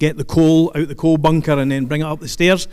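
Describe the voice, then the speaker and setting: The speaker is a man with a Scottish accent. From Scotland, Stirling. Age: 60s. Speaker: keynote speaker, retired police officer. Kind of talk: speech to audience. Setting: stage with audience. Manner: conversational, humorous asides.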